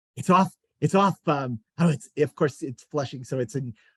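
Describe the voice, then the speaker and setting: Heard dry and close with no echo, a man with an American accent speaks at a fairly quick pace and fairly high pitch, somewhat breathy, with ordinary pitch variation. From US Northeast (Queens, New York City). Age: 60s. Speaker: bookseller and event interviewer. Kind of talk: casual conversation in a virtual author event. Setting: video call. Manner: halting, many fillers.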